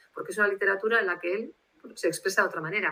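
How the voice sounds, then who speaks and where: A woman talks at a very fast pace in a bright, sharp tone, with a fairly high pitch and ordinary pitch variation. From Spain, Bilbao (Basque Country). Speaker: literary translator. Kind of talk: interview. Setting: video call. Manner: formal.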